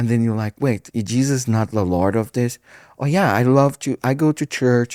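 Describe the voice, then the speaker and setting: The recording is very clean, with a silent background. A man with a Brazilian Portuguese accent speaks at a moderate pace. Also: medium pitch for a man, ordinary pitch variation. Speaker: pastor. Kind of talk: casual chat. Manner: halting.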